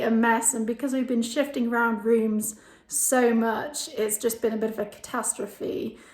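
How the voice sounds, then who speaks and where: A woman with an English accent speaks at a moderate pace in a high pitch. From England. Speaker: home renovation vlogger. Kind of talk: casual vlog house tour. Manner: casual, many fillers.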